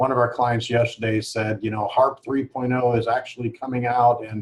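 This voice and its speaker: A man's somewhat breathy voice at a fairly quick pace, in a monotone, flat intonation. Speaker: direct mail marketing expert. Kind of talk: webinar panel discussion. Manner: fast.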